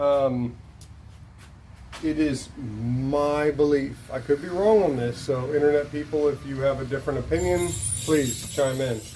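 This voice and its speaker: Amid audible room echo, a man with an American accent speaks at a fairly slow pace in a fairly high voice. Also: ordinary pitch variation. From Charleston, South Carolina, US South. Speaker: vlogger's husband, home cook. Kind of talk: casual chat. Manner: playful, joking.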